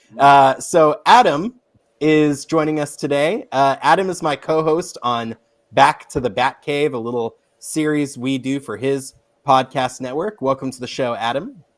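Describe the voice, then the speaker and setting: Here is an ordinary speaking voice at a fairly slow pace, with big swings in loudness and ordinary pitch variation. The recording is very clean, with a silent background. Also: man, fairly high pitch for a man. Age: 30s. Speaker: podcast host. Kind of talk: casual chat.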